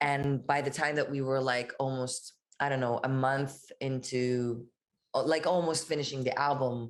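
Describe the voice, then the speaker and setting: In an Israeli accent, a woman speaks with a very deep, low pitch. Her monotone, flat intonation stays at a moderate pace with very even loudness. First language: Hebrew. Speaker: musician. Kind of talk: interview. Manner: casual, hesitant with fillers.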